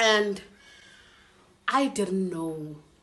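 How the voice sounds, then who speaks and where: Audible room echo around a woman, her pitch moving in an ordinary way. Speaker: YouTuber. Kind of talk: story time vlog. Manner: casual, animated.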